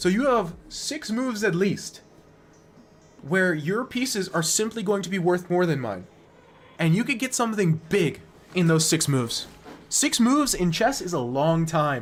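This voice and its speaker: A man with an American accent and high pitch, very wide pitch swings, a moderate pace with long, frequent pauses, and music in the background. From United States. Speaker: chess streamer. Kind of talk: live stream game review. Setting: live stream. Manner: casual, conversational.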